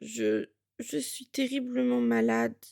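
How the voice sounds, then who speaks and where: A woman's put-on character voice, very deep and low in pitch, mumbling at a fairly slow pace. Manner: mumbling, halting.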